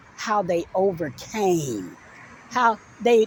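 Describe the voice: A woman speaks with a slightly mellow tone and a slightly husky edge.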